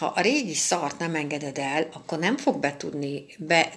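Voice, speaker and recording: A woman's very deep, low voice at a fairly slow pace, with ordinary pitch variation and noticeable background noise. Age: 50s. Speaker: astrologer. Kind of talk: weekly astrology forecast monologue.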